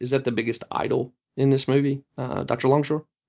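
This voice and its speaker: The speaker is a man with a Southern US accent. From US Deep South. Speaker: podcast host. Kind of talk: casual discussion, movie review.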